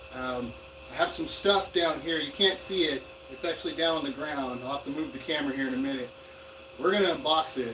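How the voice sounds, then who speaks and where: Against noticeable background noise, a man talks fairly quickly at a fairly high pitch with ordinary pitch variation. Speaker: gold prospecting YouTuber. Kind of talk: live stream unboxing. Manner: loud. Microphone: far from camera mic.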